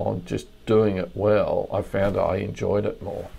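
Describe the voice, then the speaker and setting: An Australian-accented man. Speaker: crime novelist. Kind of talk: casual interview. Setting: remote call.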